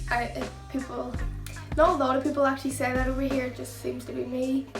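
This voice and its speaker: Woman with a Northern Irish accent over music in the background. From Northern Ireland. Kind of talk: casual talk to camera.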